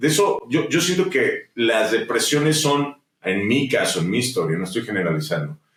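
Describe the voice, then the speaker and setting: Speaking with a Mexican accent at a moderate pace, a man makes very wide pitch swings. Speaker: musician and entrepreneur. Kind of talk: interview conversation. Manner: animated.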